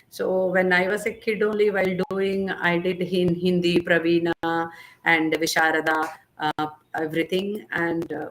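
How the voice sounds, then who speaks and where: At a moderate pace, a woman talks with a fairly low pitch and monotone, flat intonation. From India, Andhra Pradesh (Bapatla). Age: 60s. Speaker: dance teacher and professor. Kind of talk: interview.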